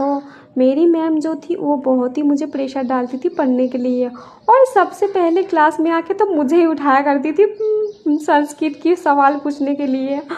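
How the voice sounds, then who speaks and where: A woman talks at a high pitch with a Bengali accent. Noticeable noise sits in the background. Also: ordinary pitch variation. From West Bengal, India. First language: Bengali (speaking Hindi). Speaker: vlogger. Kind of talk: casual vlog narration. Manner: hesitant with fillers.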